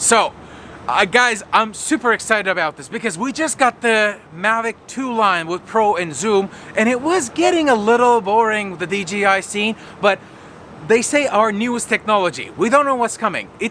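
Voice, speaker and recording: A man speaks in a raised, projected voice at a high pitch and a moderate pace. His tone is bright, sharp and animated, with lively intonation. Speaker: tech video creator. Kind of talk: casual vlog announcement.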